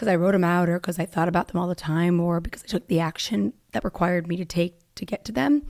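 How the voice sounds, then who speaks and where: On a very clean recording with a silent background, a woman talks at a very fast pace in a fairly low pitch. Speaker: podcast host. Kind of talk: casual monologue. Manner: chatty, filler-heavy.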